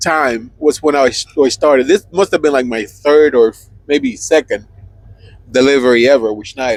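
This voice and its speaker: A fairly high-pitched man at a moderate pace, ordinary pitch variation, dry and close with no echo. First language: Spanish. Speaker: truck driver podcast co-host. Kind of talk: casual chat. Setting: inside a truck cab.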